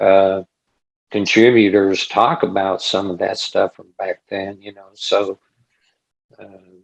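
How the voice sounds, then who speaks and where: Speaking with an American accent at a very slow pace with long, frequent pauses, a man uses a fairly low pitch and fairly even intonation, with big swings in loudness and a dry, close sound with no echo. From US Midwest (Salina, Kansas). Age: 60s. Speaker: spiritual experiencer sharing his story. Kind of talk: casual interview chat. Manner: halting, with many fillers.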